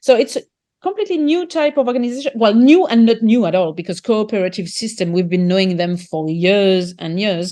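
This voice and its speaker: Talking at a fairly quick pace with a French accent, a woman uses a fairly high pitch that swings very widely. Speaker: market gardener and author. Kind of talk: interview conversation. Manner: halting, with repetitions and fillers.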